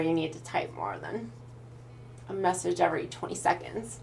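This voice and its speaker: In a Pacific Northwest accent, a woman speaks with vocal fry at a fairly low pitch amid audible room echo. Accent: American, Pacific Northwest. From Idaho, US Pacific Northwest. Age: 20s. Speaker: streamer. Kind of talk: casual live stream chat.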